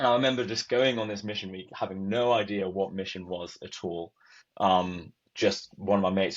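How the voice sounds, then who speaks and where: In a Welsh accent, a man talks with very deep, low pitch and fairly even intonation. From Wales, Cardiff. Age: 20s. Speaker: youth missionary. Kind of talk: testimony. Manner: casual, many filler words.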